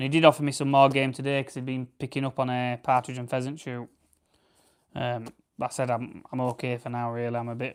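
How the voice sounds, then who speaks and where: This man has a South Yorkshire accent and a medium pitch, delivered at a fairly quick pace. His intonation is monotone and flat, though his loudness swings a lot. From South Yorkshire, England. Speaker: farmer and livestreamer. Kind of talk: casual live stream chat with viewers. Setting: live stream while preparing grouse. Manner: relaxed, chatty.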